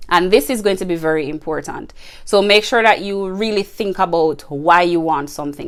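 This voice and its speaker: This woman has an unremarkable speaking voice at a medium pitch. She keeps a moderate pace and ordinary pitch variation. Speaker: podcast host. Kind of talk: casual solo podcast advice.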